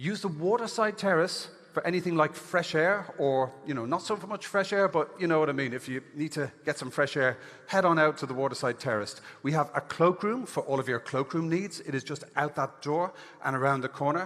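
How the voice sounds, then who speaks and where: An animated man with an Irish accent talks fairly quickly at a fairly high pitch with ordinary pitch variation. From Ireland. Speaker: event host. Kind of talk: conference hosting on stage. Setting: stage with audience.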